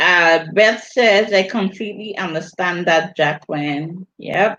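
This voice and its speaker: A woman speaks fairly slowly with a Virgin Islands accent. Her tone is bright and sharp, with ordinary pitch variation. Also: medium pitch for a woman. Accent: Virgin Islands Caribbean. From US Virgin Islands (St. Thomas). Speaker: vlogger hosting a livestream. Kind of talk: casual livestream chat reading comments. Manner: animated, repetitive.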